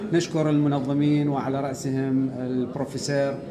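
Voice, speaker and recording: Over noticeable background noise, a man talks at a moderate pace with monotone, flat intonation. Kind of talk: formal conference speech. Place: hall. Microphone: camera far.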